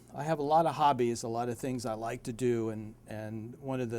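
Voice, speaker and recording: A man's dark, mellow tone with a slight Appalachian accent. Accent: slight Appalachian twang. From West Virginia (Beckley). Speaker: personal injury lawyer. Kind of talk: self-introduction to camera. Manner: hesitant, some filler words.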